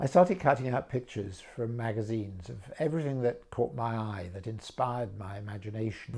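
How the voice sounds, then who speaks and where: A man's medium-pitched, somewhat breathy voice with a dark, mellow tone, a southern English accent, a moderate pace and lively intonation. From England, Brighton, with French mother. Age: 70s. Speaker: art auctioneer and specialist. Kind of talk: personal introduction talk. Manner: measured, with frequent hesitations.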